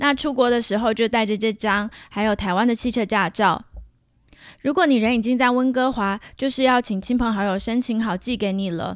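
A woman's fairly high voice with a Taiwanese accent, moderate pace and ordinary pitch variation, in a very clean recording with a silent background. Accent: Taiwanese Mandarin. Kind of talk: solo podcast monologue. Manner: casual, chatty.

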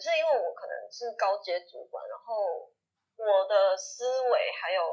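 A woman at a fairly slow pace, with big swings in loudness. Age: 30s. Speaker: social media consultant. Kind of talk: casual interview chat.

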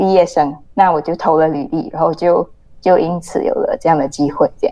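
A woman talks fairly quickly, with noticeable background noise around her voice. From Malaysia. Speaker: journalist. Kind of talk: interview.

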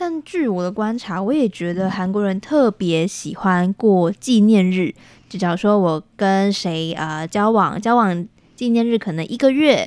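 With an ordinary speaking voice, a woman talks at a fairly slow pace with medium pitch and lively intonation in a very clean recording with a silent background. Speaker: radio station staff member. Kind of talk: casual interview.

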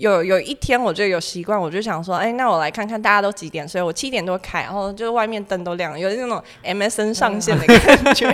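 A woman with a medium-pitched voice and ordinary pitch variation speaks very fast with hardly any pauses, over noticeable background noise. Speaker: graduate student abroad. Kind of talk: casual chat.

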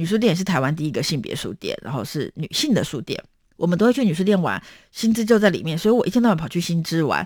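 An animated tone with very wide pitch swings and vocal fry, on a very clean recording with a silent background. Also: woman. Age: 40s. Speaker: podcast host. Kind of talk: book talk monologue.

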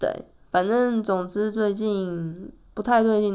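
The woman's voice sits at a fairly high pitch. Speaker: podcast host. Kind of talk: solo podcast monologue.

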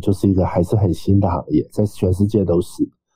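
A man with a dark, mellow, somewhat breathy tone speaks fairly low and at a fairly quick pace. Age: 40s. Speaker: startup investor and exchange adviser. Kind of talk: podcast interview.

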